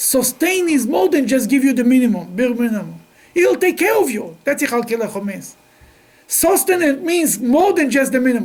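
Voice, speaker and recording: Speaking at a moderate pace with lively intonation, a man is heard through audible room echo and noticeable background noise. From Russia, then Israel. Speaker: rabbi teaching a class. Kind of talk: religious lecture. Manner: halting.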